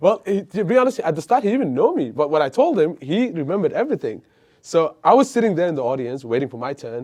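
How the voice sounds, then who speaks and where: A man with a high, dark, mellow voice talks at a very fast pace with very wide pitch swings. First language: not English. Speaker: entrepreneur. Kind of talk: casual interview.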